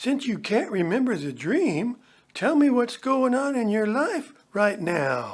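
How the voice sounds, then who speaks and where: Someone uses a put-on character voice at a fairly high pitch and a fairly slow pace. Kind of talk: 1960s hippie slang. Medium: audio drama. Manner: laid-back, slangy.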